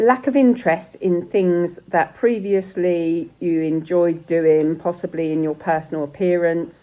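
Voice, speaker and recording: In an English accent, a woman talks at a fairly low pitch with a dark, mellow tone. She has ordinary pitch variation and hardly any pauses. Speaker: sepsis survivor vlogger. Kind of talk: casual vlog talk. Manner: occasional stutter when searching for words; hesitant, with fillers.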